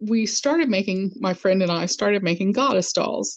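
A woman with vocal fry speaks at a medium pitch with lively intonation. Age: 50s. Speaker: craft artist. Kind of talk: casual interview chat.

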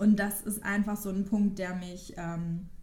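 Fairly slow, somewhat breathy speech from a woman at medium pitch, with a dark, mellow tone, fairly even intonation and audible room echo. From Westphalia, Ruhr area, Germany. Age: 30s. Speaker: podcast co-host. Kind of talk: casual chat.

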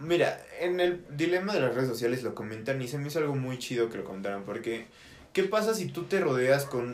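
A man speaks at a fairly high pitch with lively intonation. Room echo is audible. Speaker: podcast host. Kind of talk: casual chat. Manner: fast, sometimes stutters.

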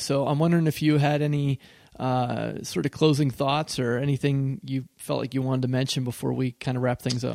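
A man with an American accent and a normal speaking voice talks at a fairly quick pace and fairly high pitch, in a dry, close sound with no echo and a very clean recording with a silent background. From western Pennsylvania. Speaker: podcast host, horror writer. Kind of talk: casual interview.

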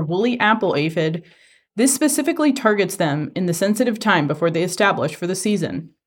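A woman's unremarkable speaking voice at medium pitch, lively intonation and a moderate pace, on a very clean recording with a silent background. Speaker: entomology professor and podcast host. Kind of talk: scripted extension update.

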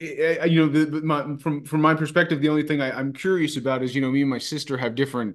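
A man's fairly high voice at a very fast pace, with hardly any pauses, fairly even intonation and a quiet background. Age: 30s. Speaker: podcast host. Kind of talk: casual chat. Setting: video call. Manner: halting.

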